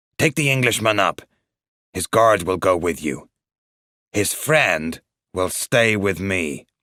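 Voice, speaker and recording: Growling in a put-on character voice, a man speaks fairly low and fairly slow with lively intonation and long, frequent pauses, the sound dry and close with no echo. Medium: read story. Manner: curt, commanding.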